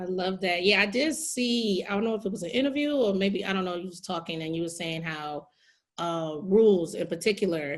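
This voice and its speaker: A woman with a normal speaking voice talks fairly quickly at a medium pitch with lively intonation. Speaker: podcast host. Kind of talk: interview questions.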